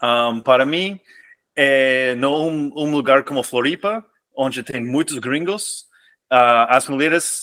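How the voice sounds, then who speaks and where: Pausing long and often, a man speaks very slowly at a medium pitch with ordinary pitch variation. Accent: non-native. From US, California. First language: English (speaking Portuguese). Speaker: expatriate guest. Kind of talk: podcast interview. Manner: halting, many repetitions.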